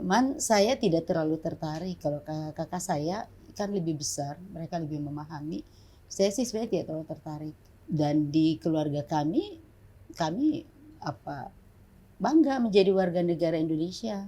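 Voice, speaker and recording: This woman has a dark, mellow, somewhat breathy tone, a fairly low pitch and lively intonation. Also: moderate pace. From Papua, Jayapura (born in Ambon). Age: 50s. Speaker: pastor and human rights activist. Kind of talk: interview. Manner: halting.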